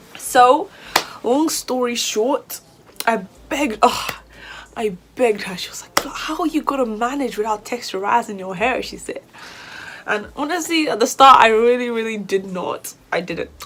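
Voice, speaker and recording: Over noticeable background noise, a woman speaks at a high pitch with lively intonation and big swings in loudness. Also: moderate pace. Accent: British. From Nigeria. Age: 20s. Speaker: YouTuber, university student. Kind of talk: casual vlog Q&A.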